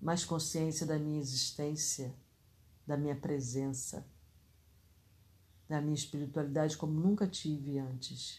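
A woman with a very deep, low pitch and a dark, mellow tone speaks somewhat breathily at a fairly slow pace, with fairly even intonation and long, frequent pauses. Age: 60s. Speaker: spiritual podcaster. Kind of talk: casual reflection.

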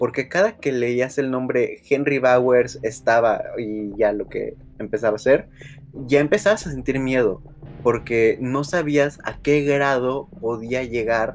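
Music in the background behind a man at medium pitch, fairly slow in pace, with ordinary pitch variation. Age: 20s. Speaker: podcast host. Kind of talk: casual chat. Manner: animated.

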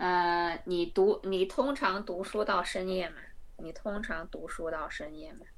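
There is audible room echo, and the loudness swings widely. A woman with a medium pitch talks at a fairly slow pace. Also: ordinary pitch variation. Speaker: language exchange partner, student. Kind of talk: language exchange practice.

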